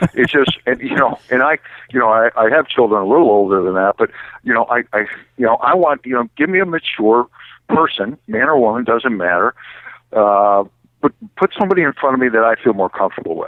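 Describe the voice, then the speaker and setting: This man has an unremarkable speaking voice at medium pitch. He talks at a fairly quick pace with lively intonation. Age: 60s. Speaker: automotive recruiting expert. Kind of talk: podcast interview.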